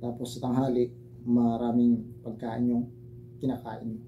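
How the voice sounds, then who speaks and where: Audible room echo hangs around this man's voice. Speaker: herbal remedy vlogger. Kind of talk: tutorial. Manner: casual, hesitant. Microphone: broken mic, voice too quiet.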